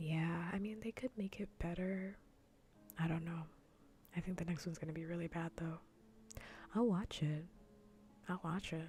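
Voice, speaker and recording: Soft-spoken, the voice moves at a moderate pace with long, frequent pauses. Music plays in the background. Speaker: vtuber streamer. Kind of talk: casual livestream chat while gaming.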